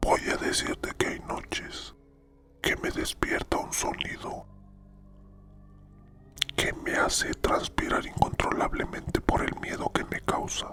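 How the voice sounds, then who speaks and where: Someone whispers at a very slow pace, leaving long, frequent pauses. Background noise is noticeable. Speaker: narrator and scriptwriter. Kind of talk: whispered horror story narration. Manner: whispered.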